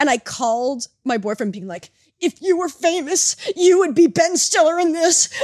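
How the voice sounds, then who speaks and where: A woman with an American accent speaks at an extremely high pitch and a moderate pace, with very wide pitch swings. Her loudness swings widely, and the sound is dry and close with no echo. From United States. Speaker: podcast co-host. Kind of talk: casual chat.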